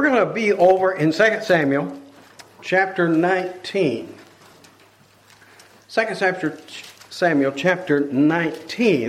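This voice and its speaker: A high-pitched man with an American accent talks at a fairly slow pace, with ordinary pitch variation and long, frequent pauses. Audible room echo and noticeable background noise fill the recording. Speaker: preacher. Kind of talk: sermon.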